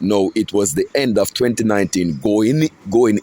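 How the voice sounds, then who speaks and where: Noticeable background noise sits behind a man with a fairly low pitch, recorded with a dry, close sound and no echo. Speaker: self-styled prophet, religious video blogger. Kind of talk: religious monologue.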